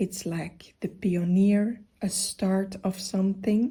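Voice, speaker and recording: Soft-spoken and somewhat breathy, a woman with a gentle, dark, mellow tone speaks at a very slow pace with fairly even intonation. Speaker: funeral director and grief counselor; massage therapist and yoga teacher. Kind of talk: tarot reading to camera. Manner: soft-spoken, gentle.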